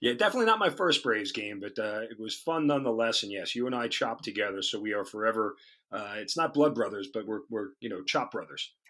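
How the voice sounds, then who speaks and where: In a New York accent, a man with a bright, sharp tone and ordinary pitch variation talks very fast with hardly any pauses against a quiet background. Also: medium pitch for a man. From New York, Long Island. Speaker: radio host and army officer. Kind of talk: interview.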